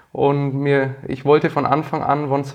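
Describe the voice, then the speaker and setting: A man with a Franconian accent and a fairly high pitch, against a quiet background. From Franconia, Nuremberg (Bavaria, Germany). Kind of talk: interview.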